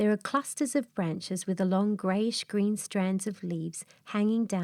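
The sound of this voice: An unforced reading voice with fairly level intonation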